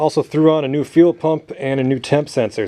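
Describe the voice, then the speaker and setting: A man speaks, and noticeable noise sits in the background. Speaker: DIY mechanic. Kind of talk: workshop tutorial. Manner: loud; casual.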